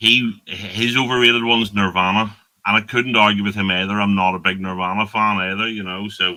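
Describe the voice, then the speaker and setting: The delivery is monotone and flat in intonation at a fairly quick pace. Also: man, fairly low pitch for a man. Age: 50s. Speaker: podcast host. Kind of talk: casual chat. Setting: live stream.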